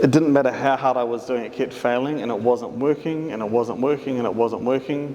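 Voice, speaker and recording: Speech with fairly even intonation and hardly any pauses comes through over noticeable background noise. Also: man. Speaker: artist. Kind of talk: public talk.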